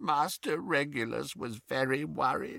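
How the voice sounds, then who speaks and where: Using a put-on character voice, a man speaks with a croaky sound. His pitch is fairly high and his pace moderate. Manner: cowed, worried.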